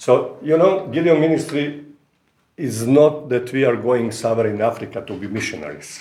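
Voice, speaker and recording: A man's medium-pitched voice with a Croatian accent, dark and mellow tone, vocal fry, ordinary pitch variation, and moderate pace, in audible room echo. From Croatia, Rijeka. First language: Croatian (speaking Polish). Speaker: visiting preacher, ministry representative. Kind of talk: sermon. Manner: halting.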